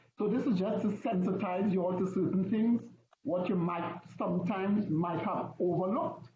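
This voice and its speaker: Ordinary pitch variation and very even loudness come through with audible room echo. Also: man. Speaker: officiating instructor. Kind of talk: lecture. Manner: fast.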